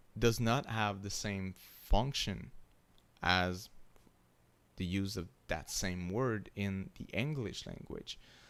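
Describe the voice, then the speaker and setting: A man speaks very slowly in a French accent. His pitch is fairly low. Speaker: university lecturer. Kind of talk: lecture. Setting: live stream. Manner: halting, many fillers.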